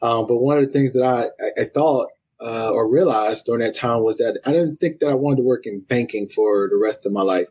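A man speaks at a medium pitch with a dark, mellow tone and ordinary pitch variation. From US South, South Carolina (Columbia). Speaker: college athletics administrator. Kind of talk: interview. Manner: frequent fillers (um, uh).

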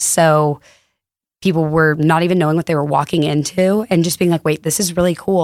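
A woman with an American accent, an unremarkable speaking voice, fairly even intonation and a fairly quick pace, in a dry, close sound with no echo. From Texas, Fort Worth. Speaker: retail store co-founder. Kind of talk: casual chat. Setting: studio.

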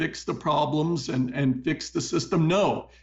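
A man talks at a moderate speed. Music is audible behind him. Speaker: political and economic commentator. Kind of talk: interview with news commentary. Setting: studio.

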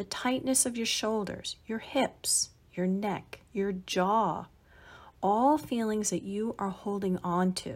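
A woman speaks very slowly in a soothing, warm tone that is somewhat breathy, in a very clean recording with a silent background. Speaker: mindfulness podcast host. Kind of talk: guided body-scan meditation, spoken instructions to listener. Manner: slow, soothing, gently paced instructions; warm, calm and encouraging.

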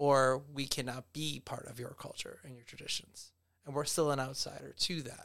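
A man with an American accent, fairly high pitched, with monotone, flat intonation, a moderate pace and big swings in loudness. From US, Cuban American family. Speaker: educator and artist. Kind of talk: casual chat.

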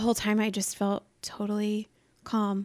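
Speaking at a very slow pace, a woman with a medium pitch is heard on a very clean recording with a silent background. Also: dry, close sound with no echo. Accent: American. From Iowa. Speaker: podcast guest. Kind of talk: casual chat.

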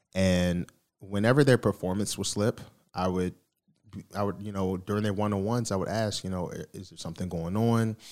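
With an American accent and a plain, everyday voice, a man talks at a fairly quick pace in a fairly low pitch with fairly even intonation, on a very clean recording with a silent background. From Baltimore, US East Coast. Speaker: podcast host and mental health advocate. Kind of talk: casual interview.

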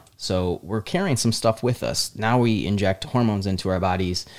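On a very clean recording with a silent background, a man speaks in an American accent. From Michigan, US. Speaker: podcast host. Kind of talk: casual chat.

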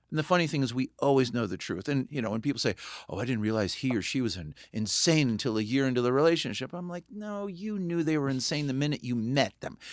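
A man with an American accent at medium pitch, very fast with hardly any pauses and lively intonation, in a very clean recording with a silent background. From California, Santa Barbara. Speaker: film director. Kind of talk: casual chat.

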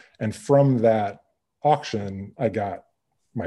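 Speaking at a fairly slow pace with an American accent, a man has a fairly low pitch, a dark, mellow tone, lively intonation and a somewhat breathy sound. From US Midwest. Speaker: furniture maker and business owner. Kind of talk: interview.

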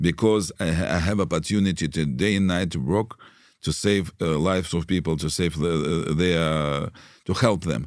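A man with a Russian accent and a very deep, low pitch talks at a moderate pace and very even loudness, in a very clean recording with a silent background. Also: ordinary pitch variation. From Russia (Leningrad). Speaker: rabbi. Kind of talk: interview. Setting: studio. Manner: halting.

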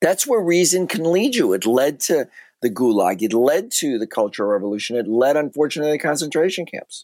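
A man with an American accent speaks at a fairly high pitch with very wide pitch swings, the sound dry and close with no echo on a very clean recording with a silent background. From US Midwest (Chicago). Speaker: author and banker. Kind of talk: interview.

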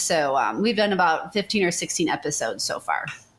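A woman's medium-pitched voice at a moderate pace, with an American accent, an ordinary speaking voice. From Chicago area. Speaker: social media marketing agency owner. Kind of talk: interview.

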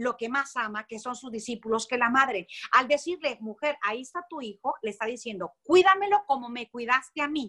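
A woman speaks in a raised, projected voice with a bright, sharp tone and a high pitch. Her intonation is lively and her pace moderate. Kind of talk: religious teaching in conversation.

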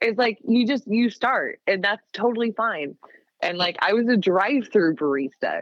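The speaker has a plain, everyday voice. The pace is moderate and the intonation lively. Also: woman, fairly high pitch for a woman. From US Pacific Northwest, Seattle area. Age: 30s. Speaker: coffee roaster. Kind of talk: casual chat.

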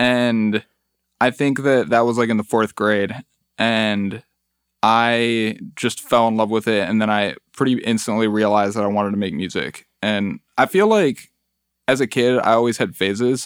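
In a very clean recording with a silent background, a man with a Midwestern US accent talks at a moderate pace and a medium pitch with fairly even intonation. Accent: US Midwest. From Metro Detroit, Michigan. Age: 20s. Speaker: musician. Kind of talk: casual chat. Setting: studio.

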